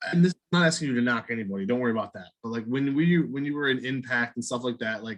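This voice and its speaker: With a Midwestern US accent, a man speaks at a medium pitch with ordinary pitch variation, going very fast with hardly any pauses. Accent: US Midwest. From Ohio, Cleveland. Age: 40s. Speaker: podcast host. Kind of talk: interview. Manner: casual.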